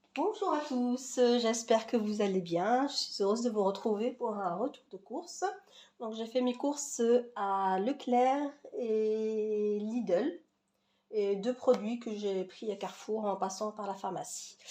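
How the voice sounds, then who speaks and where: Using ordinary pitch variation, a woman talks at a very slow pace. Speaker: vlogger. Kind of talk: casual haul vlog. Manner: hesitant, many fillers.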